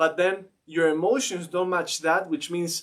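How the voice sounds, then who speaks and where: A man talks at a fairly slow pace with a non-native accent. His pitch is high. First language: not English. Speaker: mindset coach. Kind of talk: casual chat. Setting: live stream.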